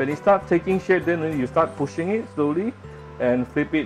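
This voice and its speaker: Faint music plays in the background as the speech moves at a moderate pace. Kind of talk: cooking tutorial. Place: kitchen. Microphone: phone near.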